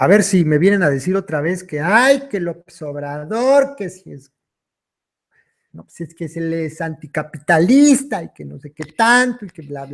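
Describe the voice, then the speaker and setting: A man's high-pitched voice swings very widely in pitch as he talks at a fairly slow pace. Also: big swings in loudness, very clean recording, silent background. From Mexico, Michoacán. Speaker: online commentator reading political texts. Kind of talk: live stream chat. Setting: live stream.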